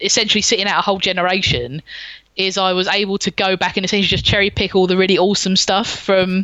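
With a London accent, a woman talks at a very fast pace and medium pitch, her loudness very even throughout. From South London. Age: 40s. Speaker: gaming podcaster. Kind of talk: casual chat. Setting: home studio.

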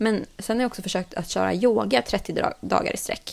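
A woman's voice with vocal fry, at a moderate pace. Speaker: podcast host. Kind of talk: casual chat.

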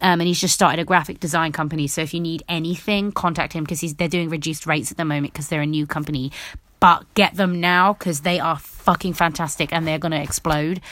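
A woman speaks very fast in a British accent with a fairly low pitch. The recording is very clean, with a silent background. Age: 20s. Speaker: podcaster. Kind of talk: casual solo monologue. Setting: alone in a room at home. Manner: animated.

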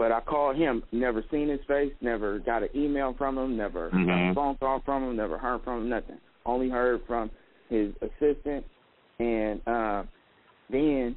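A man's medium-pitched voice at a moderate pace with ordinary pitch variation. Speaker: caller. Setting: phone. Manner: talks over others.

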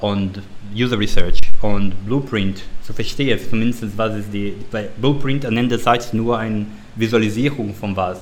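This man's moderate-paced speech sits fairly low in pitch and keeps fairly even intonation. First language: not German (speaking German). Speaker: service design director. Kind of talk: interview. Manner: halting, many fillers.

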